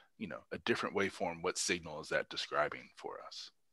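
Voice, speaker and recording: Talking at a fairly quick pace, a man speaks with an Indiana accent. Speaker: neurologist, guest lecturer. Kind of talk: Q&A after a lecture. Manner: halting, many fillers.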